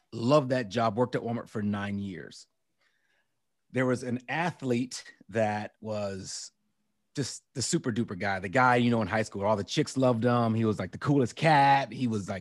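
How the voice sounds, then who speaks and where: A man talks at a moderate pace in a normal speaking voice, medium in pitch with ordinary pitch variation, on a very clean recording with a silent background. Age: 50s. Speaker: former special forces operator and entrepreneur. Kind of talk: casual interview chat.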